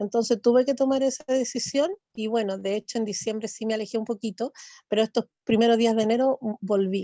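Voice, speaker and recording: A fairly quick, fairly high-pitched woman's voice with fairly even intonation. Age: 60s. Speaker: church class participant. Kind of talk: testimony. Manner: halting.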